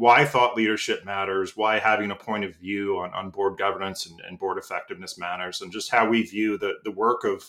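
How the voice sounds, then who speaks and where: Fairly quick speech comes from a man with a fairly low pitch. His tone is bright and sharp. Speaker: podcast host. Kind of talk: casual chat. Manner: halting, many fillers.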